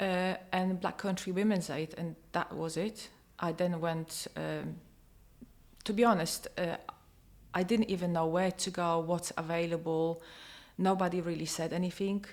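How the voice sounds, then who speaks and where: With a Polish accent, a woman speaks fairly slowly at a fairly low pitch in a monotone, flat delivery broken by long, frequent pauses. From Poland. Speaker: domestic abuse survivor. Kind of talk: testimony. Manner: halting.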